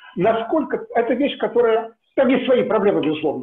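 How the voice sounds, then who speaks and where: A man speaks in a high voice with lively intonation. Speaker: seminar audience member; audience member. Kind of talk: Q&A discussion. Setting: video call. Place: home room. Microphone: video call.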